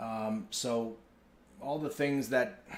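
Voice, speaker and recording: Audible room echo carries a man's lively intonation and New York accent. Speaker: company executive. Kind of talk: town hall address. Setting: company town hall.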